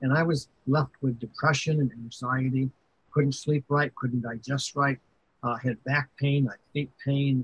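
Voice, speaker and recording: Somewhat breathy and monotone, with flat intonation, a man speaks at a medium pitch and a fairly slow pace. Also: very even loudness. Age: 70s. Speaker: video game record keeper. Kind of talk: interview conversation.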